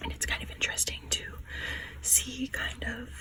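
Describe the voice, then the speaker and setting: Talking at a moderate speed, with noticeable background noise. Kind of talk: casual book review talk to camera, ASMR. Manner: soft-spoken, whispery, rambling.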